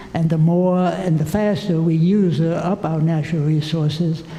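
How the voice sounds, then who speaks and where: Fairly slow speech with fairly even intonation, audible room echo and noticeable background noise. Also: man. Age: 80s+. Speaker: retired geologist, audience member. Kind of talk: audience comment at conference.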